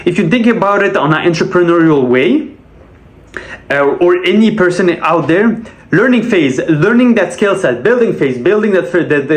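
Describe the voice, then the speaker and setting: A man's lively intonation at a moderate pace, with audible room echo and noticeable background noise. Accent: Quebec. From Quebec. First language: French. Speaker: sales rep and vlogger. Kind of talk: casual monologue vlog.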